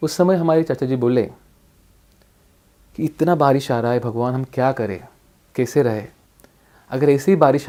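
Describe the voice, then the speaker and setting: With a medium pitch and ordinary pitch variation, a man speaks in a dark, mellow tone, pausing long and often. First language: Marathi (also Bhili, Ahirani) (speaking Hindi). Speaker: district collector, civil servant. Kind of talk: motivational life story talk.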